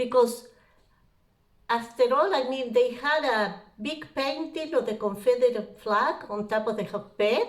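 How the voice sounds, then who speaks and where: A fairly high-pitched woman's voice with a strong Spanish accent. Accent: thick Spanish. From Uruguay. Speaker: travel vlogger. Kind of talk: personal storytelling. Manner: casual.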